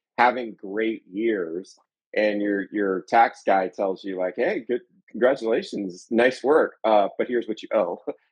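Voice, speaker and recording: A man at a medium pitch and moderate pace, with an ordinary speaking voice. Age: 40s. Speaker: podcast co-host, sales and business coach. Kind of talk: casual chat.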